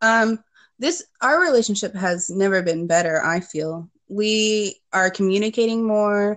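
Against a quiet background, a woman uses a normal speaking voice, medium in pitch, at a fairly slow pace with ordinary pitch variation. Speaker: program client guest. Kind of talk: casual interview.

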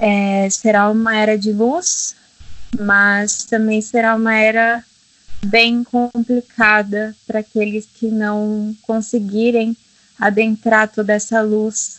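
Speaking very slowly, a woman holds a fairly high pitch in a monotone, flat delivery. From Brazil, Minas Gerais. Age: 20s. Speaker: holistic therapist. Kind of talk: casual interview.

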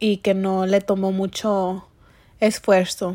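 A woman speaks at a slow pace. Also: slightly mellow tone.

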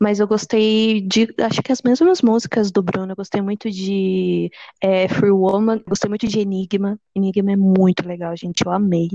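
An unremarkable speaking voice from a woman, moderate in pace with hardly any pauses, fairly even in intonation, in a dry, close sound with no echo. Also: medium pitch for a woman. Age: 20s. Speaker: history student, podcast co-host. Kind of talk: casual chat.

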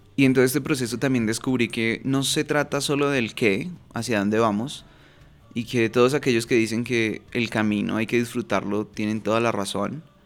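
At a moderate pace, this man talks in a plain, everyday voice. He is medium-pitched, with fairly even intonation. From Bogotá, Colombia. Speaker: podcast host, personal development coach. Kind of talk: solo podcast monologue.

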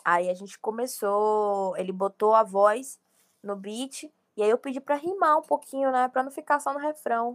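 A woman's fairly high voice in a Bahian accent at a fairly slow pace, with lively intonation and big swings in loudness, dry and close with no echo, on a very clean recording with a silent background. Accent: Bahian Brazilian Portuguese. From Bahia, Brazil (Feira de Santana). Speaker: rapper. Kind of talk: casual interview.

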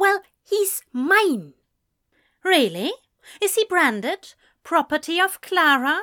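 In a put-on character voice, a woman goes extremely high in pitch with big swings, her tone bright and sharp and her pace slow, on a very clean recording with a silent background.

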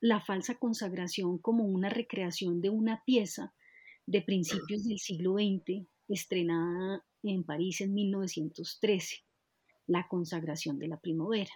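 A woman speaks very slowly at a medium pitch, with ordinary pitch variation and a dark, mellow tone. The sound is dry and close with no echo, over a quiet background. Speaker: podcast host, dance researcher. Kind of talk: interview conversation.

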